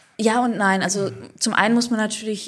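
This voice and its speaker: The woman keeps a moderate pace and fairly even intonation despite noticeable background noise around her. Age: 40s. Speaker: writer. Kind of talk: interview conversation.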